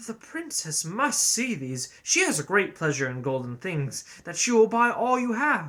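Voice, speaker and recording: A man puts on a character voice, pitched high with very wide pitch swings. He keeps a moderate pace with hardly any pauses. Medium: read story.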